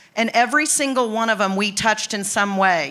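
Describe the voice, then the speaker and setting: Over noticeable background noise, a woman with a fairly high pitch and ordinary pitch variation speaks at a fairly quick pace. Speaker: city tourism promoter. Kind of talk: panel discussion at civic event. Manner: fast.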